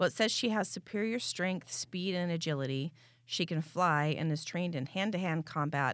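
In a very clean recording with a silent background, a woman with a plain, everyday voice talks at a fairly quick pace and fairly low pitch, with ordinary pitch variation. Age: 40s. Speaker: podcast co-host. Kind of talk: casual chat.

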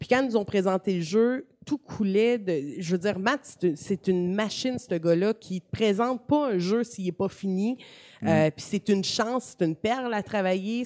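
A woman's medium-pitched voice in a dark, mellow tone, with ordinary pitch variation at a moderate pace, dry and close with no echo. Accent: Quebec. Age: 30s. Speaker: gaming communications director and streamer. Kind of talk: casual interview.

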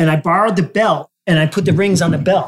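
A high-pitched man with an American accent speaks with ordinary pitch variation. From New Jersey. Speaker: photographer and gallery owner. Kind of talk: casual chat. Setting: in a photo gallery.

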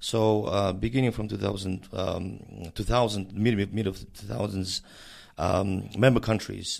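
A man's vocal fry with fairly even intonation at a moderate pace. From Mongolia. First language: Mongolian. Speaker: director of an intergovernmental organization. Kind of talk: interview. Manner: halting, many fillers.

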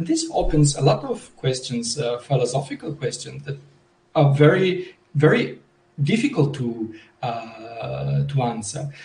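A man talks at a fairly slow pace with a fairly high pitch and lively intonation. Vocal fry colors his voice. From Italy. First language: Italian. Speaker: language technology researcher. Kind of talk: panel discussion. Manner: halting, many disfluencies.

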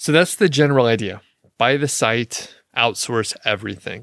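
A man talks in an unremarkable speaking voice at a moderate pace with ordinary pitch variation. The recording is very clean, with a silent background. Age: 40s. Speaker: podcast host on niche websites. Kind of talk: casual solo podcast monologue. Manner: relaxed, conversational with fillers.

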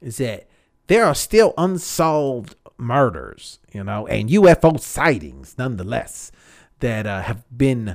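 A man's medium-pitched voice with vocal fry and very wide pitch swings, on a very clean recording with a silent background. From Texas. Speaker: podcast host. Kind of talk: casual solo monologue. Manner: relaxed, many fillers and laughs.

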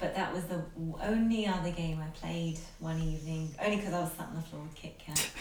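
A woman with a fairly low pitch speaks at a fairly quick pace with ordinary pitch variation. Audible room echo and noticeable background noise come through. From North London. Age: 30s. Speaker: gaming podcast co-host. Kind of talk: casual chat.

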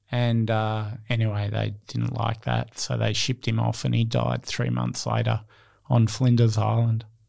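This man speaks with an Australian accent at a moderate pace. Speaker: entrepreneur, founder of an innovation consultancy. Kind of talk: interview.

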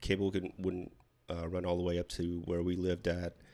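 A man with a Pacific Northwest accent speaks in a very deep, low pitch. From Washington State, small rural town. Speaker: Navy veteran, podcast guest. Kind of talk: casual interview chat.

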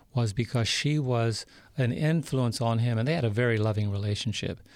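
With an American accent, a man speaks at a fairly quick pace in a medium pitch with ordinary pitch variation. He has a normal speaking voice, and the recording is very clean with a silent background. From US Northeast, New York City. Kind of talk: interview testimony. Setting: studio.

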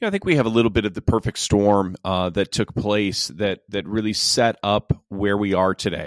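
This very clean, silent-background recording, dry and close with no echo, captures a man with an ordinary speaking voice, a fairly low pitch and ordinary pitch variation. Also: moderate pace. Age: 40s. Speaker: pastor. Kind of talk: interview.

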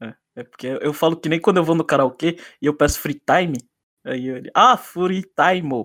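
A man speaks at a moderate pace in a normal speaking voice, fairly high in pitch with lively intonation and big swings in loudness, the sound dry and close with no echo in a very clean recording with a silent background. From Brazil, São Paulo. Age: 30s. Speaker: podcast host. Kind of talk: casual chat.

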